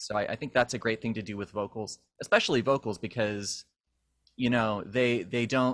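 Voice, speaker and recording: In an unremarkable speaking voice, a man keeps to a moderate pace. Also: very clean recording, silent background. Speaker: musician. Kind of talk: casual chat.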